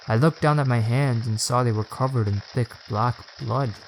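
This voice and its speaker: Over noticeable background noise, a man talks in a medium pitch with fairly even intonation. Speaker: storyteller. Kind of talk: horror story narration.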